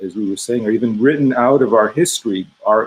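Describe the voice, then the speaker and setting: Here a man speaks at a medium pitch and a moderate pace. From Iowa, US Midwest, Greek immigrant family. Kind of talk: panel discussion. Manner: halting.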